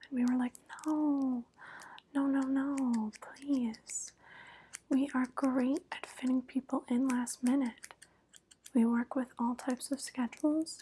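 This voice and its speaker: A woman speaks at a fairly slow pace in a high pitch with a dark, mellow tone and monotone, flat intonation, pausing long and often over light background noise. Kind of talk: soft-spoken roleplay chat. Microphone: lapel.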